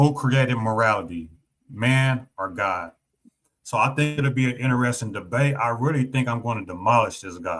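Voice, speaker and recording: A man with a Southern US accent, medium pitch, ordinary pitch variation and a moderate pace. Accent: Southern twang. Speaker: streamer and debater. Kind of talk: casual chat.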